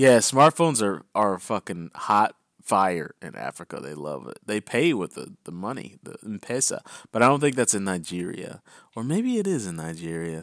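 A man's fairly low voice at a moderate pace, animated in tone, with very wide pitch swings and big swings in loudness, on a very clean recording with a silent background and a dry, close sound with no echo. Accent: American. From US military town. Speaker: crypto news podcast host. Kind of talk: reading news headlines; casual chat.

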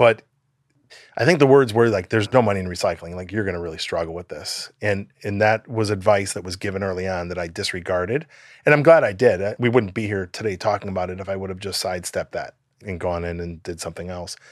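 Against a quiet background, a man with an American accent talks at a very fast pace and fairly low pitch. His pitch variation is ordinary, and his loudness swings widely. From US Midwest, Chicago suburbs. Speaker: nonprofit founder. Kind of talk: interview. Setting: video call.

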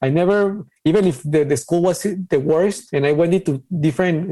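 A man speaks in a Mexican accent with a high pitch. His tone is dark and mellow. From Ciudad Juarez, Mexico. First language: Spanish. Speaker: designer and crypto artist. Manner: halting, hesitant with fillers.

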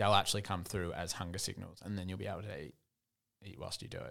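A man's tone is bright and sharp, and his intonation stays fairly even. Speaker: podcast co-host. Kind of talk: casual chat. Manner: subdued, lower energy.

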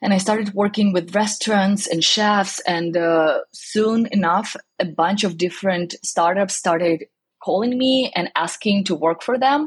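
Speaking fairly slowly, a woman with a medium pitch sounds somewhat breathy, her loudness very even and her pitch varying in an ordinary way. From southern Ukraine. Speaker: cookbook author. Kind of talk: interview.

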